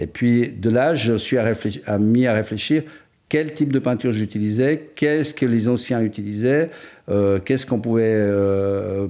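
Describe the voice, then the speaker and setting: A man's dark, mellow, medium-pitched voice at a fairly slow pace, with ordinary pitch variation and very even loudness, on a very clean recording with a silent background. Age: 60s. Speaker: painter-decorator. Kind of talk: interview. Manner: hesitant, many fillers.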